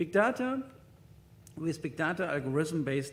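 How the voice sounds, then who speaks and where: Here a man speaks with a German accent at a fairly high pitch. His pace is fairly quick and his intonation lively. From German-speaking Europe. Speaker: hospital IT executive, conference speaker. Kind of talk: conference presentation. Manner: halting, with many fillers.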